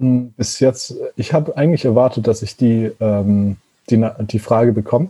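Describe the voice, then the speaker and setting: A man's medium-pitched, somewhat breathy voice with a dark, mellow tone, ordinary pitch variation and a fairly slow pace. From Germany, Konstanz (Lake Constance). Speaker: zero-waste van traveller and content creator, former molecular biologist. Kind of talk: casual interview chat. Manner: halting, many fillers.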